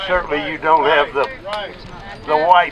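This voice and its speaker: Over noticeable background noise, a man with a Texan accent speaks with fairly even intonation. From Texas. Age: 70s. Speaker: protest speaker. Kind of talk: public speech at a rally.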